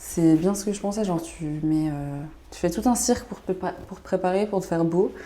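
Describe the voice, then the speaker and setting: Over noticeable background noise, a woman talks at a medium pitch and a moderate pace with ordinary pitch variation. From Switzerland, canton of Vaud. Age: 20s. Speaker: vlogger. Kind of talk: casual vlog chat. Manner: animated.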